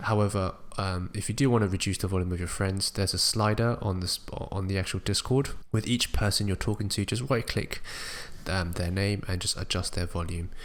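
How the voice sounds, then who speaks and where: A man with an ordinary speaking voice, fairly low-pitched, at a moderate pace, with fairly even intonation, on a very clean recording with a silent background. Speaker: small-time streamer making tutorials. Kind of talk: tutorial.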